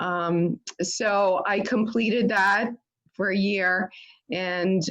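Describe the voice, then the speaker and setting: A woman with a New York accent keeps her intonation fairly even. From New York City, Staten Island. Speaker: infectious disease physician, professor. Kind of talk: talk to a club audience.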